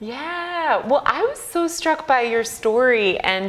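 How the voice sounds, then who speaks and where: A woman's pitch swings very widely. There is noticeable background noise. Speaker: podcast host. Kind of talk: casual interview chat.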